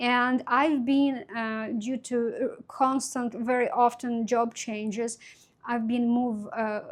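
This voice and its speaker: In a very clean recording with a silent background, a woman with a high voice and a non-native accent talks at a very slow pace, her intonation fairly even. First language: not English. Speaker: crafts YouTuber. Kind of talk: casual vlog talk to camera. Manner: halting, many fillers.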